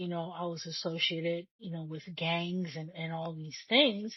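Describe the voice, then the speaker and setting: Somewhat breathy and fairly slow, a woman speaks at a fairly low pitch with a non-native accent. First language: not English. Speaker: podcast host. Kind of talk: solo podcast monologue. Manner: conversational, repeats words.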